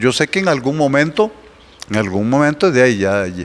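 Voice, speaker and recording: A man talks at a moderate pace, with a medium pitch. He has a plain, everyday voice and lively intonation. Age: 60s. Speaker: pastor. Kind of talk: casual chat.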